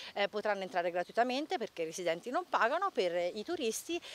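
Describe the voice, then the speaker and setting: A woman talks at a very fast pace with very wide pitch swings. The sound is dry with no echo. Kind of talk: interview answer. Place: open country. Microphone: handheld.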